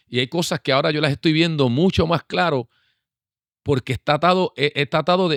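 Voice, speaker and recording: On a very clean recording with a silent background, a man with an unremarkable speaking voice talks at a fairly quick pace. His pitch is fairly high with ordinary variation, and the sound is dry and close with no echo. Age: 60s. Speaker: pastor. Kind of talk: casual chat.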